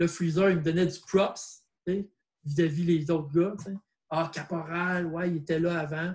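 A man with a high voice talks at a fairly slow pace, his intonation fairly even. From Quebec, north shore of Montreal. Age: 40s. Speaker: breakdancer. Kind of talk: casual interview.

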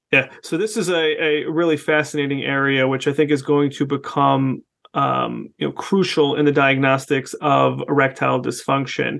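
Speaking at a moderate pace, a man with a fairly high pitch and fairly even intonation has a plain, everyday voice. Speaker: sex therapist podcast host. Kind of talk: interview.

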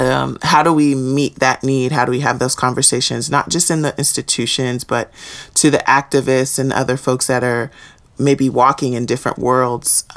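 Speaking at a moderate pace, a woman with an American accent has a very deep, low pitch and monotone, flat intonation. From Houston, Texas. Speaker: webinar facilitator. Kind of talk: interview.

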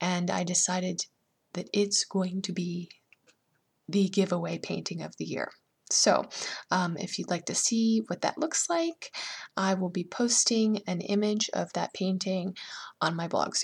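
A somewhat breathy woman's voice at a medium pitch, fairly slow and fairly even, with long, frequent pauses on a very clean recording with a silent background. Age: 30s. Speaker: painter and art teacher hosting a podcast. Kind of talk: solo podcast monologue.

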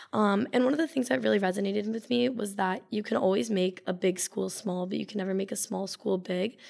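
Woman with an American accent, vocal fry, lively intonation and a fairly quick pace. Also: medium pitch for a woman. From Connecticut. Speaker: business student. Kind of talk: casual interview.

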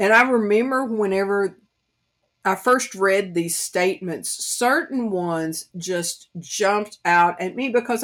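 A woman with an East Tennessee accent talks at a fairly slow pace, at medium pitch, with lively intonation. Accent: Southern US (East Tennessee country accent). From US South, East Tennessee. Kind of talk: devotional Bible teaching.

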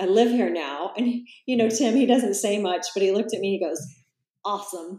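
An ordinary speaking voice from a woman with an American accent, medium in pitch, with ordinary pitch variation, at a fairly quick pace. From US Midwest, Salina, Kansas. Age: 50s. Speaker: yoga teacher and vegan author. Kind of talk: interview.

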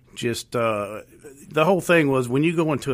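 Lively intonation from a man in a Southern US accent. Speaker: police officer. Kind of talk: radio interview. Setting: radio studio.

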